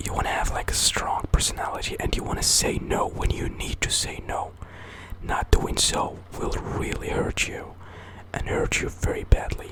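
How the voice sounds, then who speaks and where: Noticeable background noise sits under a man whispering at a moderate pace. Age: 20s. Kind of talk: ASMR whisper ramble. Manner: whispered, soft-spoken.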